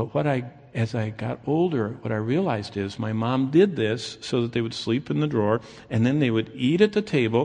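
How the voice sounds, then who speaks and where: A man with an American accent speaks at a moderate pace in a medium-pitched, dark, mellow voice with lively intonation. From Michigan, US Midwest. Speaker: pastor. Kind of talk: sermon.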